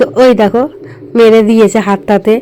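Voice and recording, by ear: A woman speaks at a moderate pace in a fairly high pitch. Her tone is dark and mellow, with little pitch movement.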